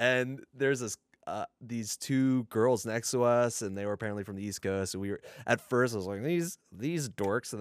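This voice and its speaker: A man talks at a fairly quick pace in a plain, everyday voice with medium pitch and ordinary pitch variation. The recording is very clean with a silent background, dry and close with no echo. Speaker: podcast co-host and editor. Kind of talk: casual chat. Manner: joking, laid back.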